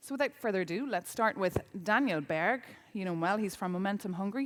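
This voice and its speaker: A woman talks at a very fast pace with lively intonation in an Irish accent. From Ireland. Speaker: journalist and debate moderator. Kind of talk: event moderation. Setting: conference stage with audience.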